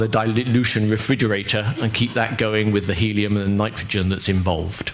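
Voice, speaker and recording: A man at a medium pitch and moderate pace, with audible room echo and noticeable background noise. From Europe. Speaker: tech company engineer presenter. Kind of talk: lecture. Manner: halting, many fillers.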